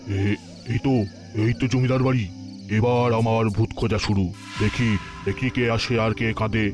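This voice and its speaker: Clear music plays in the background as a man puts on a cartoonish character voice at medium pitch, speaking at a moderate pace. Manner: stammering.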